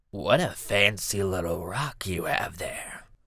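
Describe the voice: Putting on a character voice, a man speaks raspily at a fairly slow pace and a fairly low pitch.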